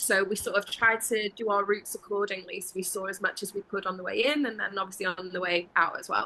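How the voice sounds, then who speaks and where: A woman races along at a very fast pace with hardly any pauses, her pitch medium and her intonation fairly even. Noticeable background noise runs underneath. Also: big swings in loudness. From Wales. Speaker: travel interview guest, full-time traveler. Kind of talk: casual interview chat.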